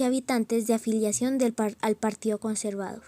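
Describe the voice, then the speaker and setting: With a dry, close sound and no echo, a woman speaks in an ordinary speaking voice. Her pitch is fairly high and her intonation fairly even. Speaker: student documentary narrator. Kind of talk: scripted narration.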